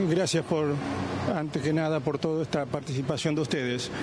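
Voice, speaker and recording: Man's voice over noticeable background noise. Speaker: grandfather of alleged abuse victim. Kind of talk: news interview answer. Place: street. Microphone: handheld.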